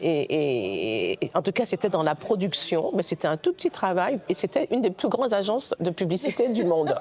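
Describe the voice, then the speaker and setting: Her pitch is medium, yet it swings very widely. She speaks at a moderate pace with hardly any pauses and very even loudness, with noticeable background noise behind her. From Guadeloupe, raised in mainland France from age 6. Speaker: film director. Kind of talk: interview. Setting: recorded at a film festival. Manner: halting, many hesitations and repetitions.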